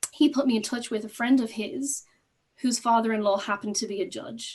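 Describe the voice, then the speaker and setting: Speaking at a fairly quick pace, a woman with an Irish accent uses a fairly high pitch and ordinary pitch variation. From Ireland. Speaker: court associate, former teacher. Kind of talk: panel discussion.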